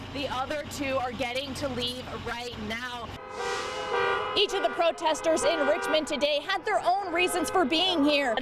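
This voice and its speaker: Music plays in the background. The speaker talks at a fairly slow pace with ordinary pitch variation. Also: woman, high pitch for a woman. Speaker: TV news reporter and anchor. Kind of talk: TV news field report. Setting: TV news broadcast.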